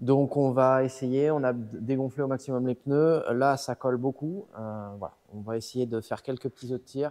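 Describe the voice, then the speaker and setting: A man's medium-pitched, dark, mellow voice at a moderate pace, fairly even in intonation and with hardly any pauses. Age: 20s. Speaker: dyno tuner. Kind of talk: casual chat.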